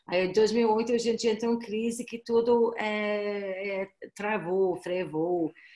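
A woman's fairly high voice, dark and mellow in tone, with fairly even intonation and a very slow pace. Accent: Irish. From Ireland. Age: 40s. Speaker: education agency representative. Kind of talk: webinar presentation. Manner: halting. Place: home room. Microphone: webcam.

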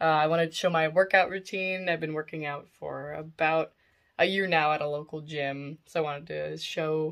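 A woman speaks at a moderate pace in a very deep, low pitch. Her intonation is monotone and flat, and the background is quiet. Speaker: vlogger. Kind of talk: casual vlog chat. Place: home room. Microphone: phone near.

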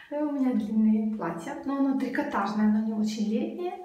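Audible room echo surrounds a woman who talks at a fairly slow pace with ordinary pitch variation. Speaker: vlogger. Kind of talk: casual vlog chat.

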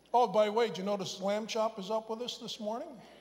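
The speech moves at a fairly quick pace, and audible room echo surrounds it. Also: man. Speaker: pastor. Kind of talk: sermon. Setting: church.

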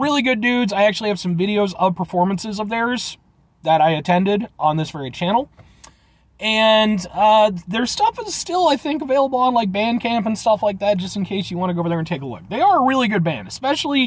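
A man speaking very fast, with a dry sound and no echo. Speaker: food review vlogger. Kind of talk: casual vlog chat. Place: car. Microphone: phone near.

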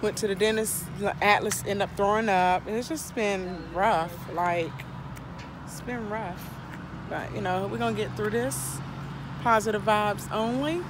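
Long, frequent pauses break up a woman's fairly slow speech. The sound is dry with no echo, though noticeable background noise is present. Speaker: mother vlogger. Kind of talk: casual vlog chat. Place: street. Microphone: phone near.

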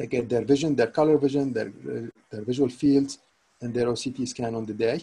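The voice has a dark, mellow tone and sounds somewhat breathy. Its intonation stays fairly even. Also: man. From Syria. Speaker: consultant neuro-ophthalmologist. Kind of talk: lecture. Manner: halting, with many repetitions. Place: home room. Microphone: webcam.

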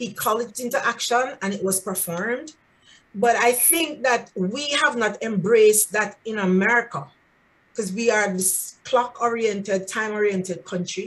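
An unremarkable speaking voice, a woman's, fairly high in pitch, at a moderate pace, with ordinary pitch variation. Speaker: student. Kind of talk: class discussion. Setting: video call. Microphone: video call.

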